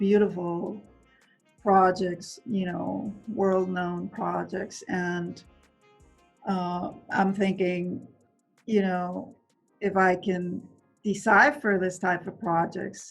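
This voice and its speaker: Over music in the background, a soft-spoken woman talks at a very slow pace with a medium pitch, fairly even intonation and long, frequent pauses. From Venezuela. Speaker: construction executive. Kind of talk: interview answer.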